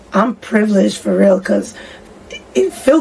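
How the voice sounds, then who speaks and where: Amid noticeable background noise, a woman talks at medium pitch and a fairly quick pace. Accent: American. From Boston area, Massachusetts (Somerville/Cambridge). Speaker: singer and rapper. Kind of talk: interview.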